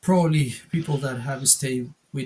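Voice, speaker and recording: The man talks at a moderate pace. His pitch varies in an ordinary way. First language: Spanish. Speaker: wargaming channel co-host. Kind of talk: casual chat. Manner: halting, many fillers.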